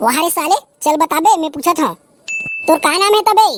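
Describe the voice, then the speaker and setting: A woman's squeaky, cartoonish character voice, extremely high and delivered at a very fast pace. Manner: questioning, officious.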